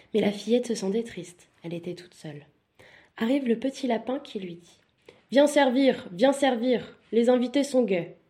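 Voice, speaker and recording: This woman has a fairly high pitch and a dark, mellow tone. Her loudness swings widely. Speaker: bedtime story narrator. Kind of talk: bedtime fairy-tale storytelling. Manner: soft, soothing, slow-paced storyteller.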